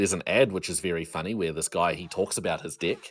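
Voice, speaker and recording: Speaking in a New Zealand accent, a man has a very deep, low voice. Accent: Kiwi. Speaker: game developer and streamer. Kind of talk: interview. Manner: halting.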